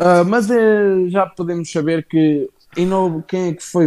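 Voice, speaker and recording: With music in the background, a man speaks in a high voice with ordinary pitch variation. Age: 20s. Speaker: wrestling podcast host. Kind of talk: casual chat. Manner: animated.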